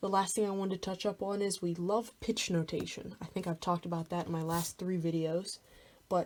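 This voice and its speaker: A woman speaks at a medium pitch with a dark, mellow tone and fairly even intonation. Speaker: music theory tutor. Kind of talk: tutorial. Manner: casual.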